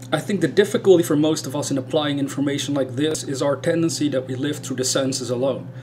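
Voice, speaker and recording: Over noticeable background noise, a man with a strong Dutch accent talks very fast with hardly any pauses, in a fairly high pitch and fairly even intonation. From Netherlands. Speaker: spiritual YouTuber. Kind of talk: casual video talk. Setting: indoors in a room.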